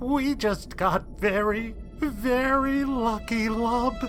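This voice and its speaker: Clear music plays in the background as someone talks in a put-on character voice at a very slow pace. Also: female-sounding voice, fairly high pitch for a woman. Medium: audio drama. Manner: nervous, eager to please.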